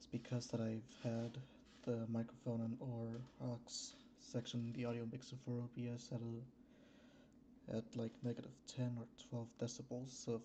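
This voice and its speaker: Soft-spoken and somewhat breathy, a man talks at a medium pitch and a fairly slow pace, his tone dark and mellow and his intonation monotone and flat. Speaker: streamer. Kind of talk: casual livestream chat. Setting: home streaming room without soundproofing. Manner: hesitant.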